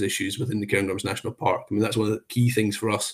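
Talking at a medium pitch with a Scottish accent, a man sounds somewhat breathy and keeps his intonation fairly even. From Scotland, Perthshire. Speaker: national park chief executive. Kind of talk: interview. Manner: hesitant, many fillers.

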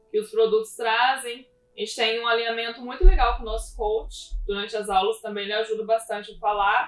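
Its pitch shifts in an ordinary way and the delivery is fairly quick. Overall it is an unremarkable speaking voice. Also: woman. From southern Minas Gerais, Brazil (Pouso Alegre). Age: 20s. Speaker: physical education teacher, gym co-owner. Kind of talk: live-stream interview. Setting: online live stream.

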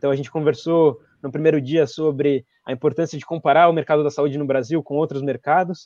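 Against a quiet background with a dry, close sound and no echo, a man speaks in a fairly high, dark, mellow voice with monotone, flat intonation. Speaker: event organizer. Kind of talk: event hosting.

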